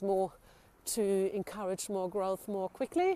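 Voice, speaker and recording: A woman with a non-native accent talks at a fairly slow pace. Her tone is dark and mellow, with ordinary pitch variation. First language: not English. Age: 40s. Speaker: solo living vlogger. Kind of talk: casual talk to camera. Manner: halting, with fillers.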